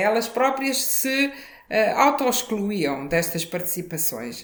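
At a fairly slow pace, a woman speaks in a fairly high pitch with very wide pitch swings. Audible room echo and noticeable background noise fill the recording. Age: 60s. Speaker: former mayor, politician. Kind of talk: interview.

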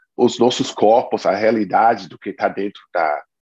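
A man's fairly low voice at a fairly slow pace. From United States. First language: English (speaking Portuguese). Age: 40s. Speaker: biographer and author. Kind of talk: interview at a reading club.

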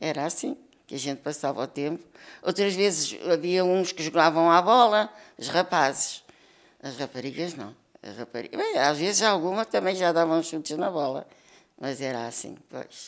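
A woman with a Lisbon accent, fairly low in pitch, with lively intonation at a moderate pace. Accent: Lisbon European Portuguese. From Lisbon, Portugal. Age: 70s. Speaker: elderly interviewee sharing memories. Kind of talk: oral history interview. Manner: halting, with repetitions.

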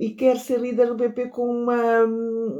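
In a very clean recording with a silent background, a woman speaks in a dark, mellow tone. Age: middle-aged. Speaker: journalist and political commentator. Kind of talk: political panel discussion.

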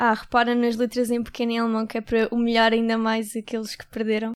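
A fairly high-pitched woman's voice in a flat monotone. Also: very clean recording, silent background. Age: 20s. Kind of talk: interview.

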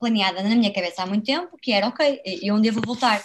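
Somewhat breathy and fairly high, a woman's voice moves with ordinary pitch variation. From Braga, northern Portugal. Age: 20s. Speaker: author and traveller. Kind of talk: interview.

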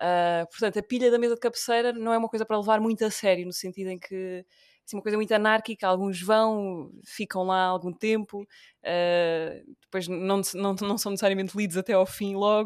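With an ordinary speaking voice, a woman of medium pitch talks at a moderate pace with fairly even intonation and hardly any pauses on a very clean recording with a silent background. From Portugal, Beja (Alentejo). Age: 20s. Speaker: radio presenter. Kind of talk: casual interview conversation.

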